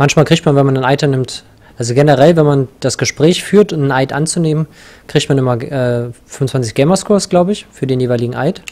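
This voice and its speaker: An ordinary speaking voice from a man, fairly high in pitch, fairly quick, with ordinary pitch variation. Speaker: video game player. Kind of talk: casual chat while gaming co-op. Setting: online voice chat while playing.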